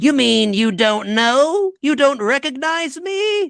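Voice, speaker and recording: A high-pitched, put-on character voice is used here. It moves at a fairly slow pace. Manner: indignant.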